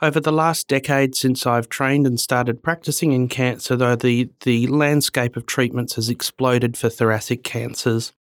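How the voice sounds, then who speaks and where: A man with an Australian accent at a medium pitch and a moderate pace, with fairly even intonation, hardly any pauses and very even loudness, in a dry, close sound with no echo on a very clean recording with a silent background. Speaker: medical oncologist. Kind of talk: interview.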